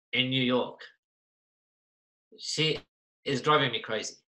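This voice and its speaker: A man with an Australian accent talks at a fairly slow pace in a fairly high voice with a bright, sharp tone. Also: long, frequent pauses. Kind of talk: casual chat. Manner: animated.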